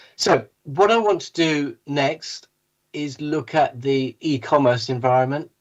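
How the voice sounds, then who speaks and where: Here a man speaks with a British accent. His pace is very slow. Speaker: tech company CEO, panel speaker. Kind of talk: conference presentation.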